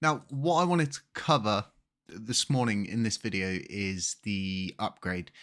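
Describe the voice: Captured in a very clean recording with a silent background, a man speaks with ordinary pitch variation.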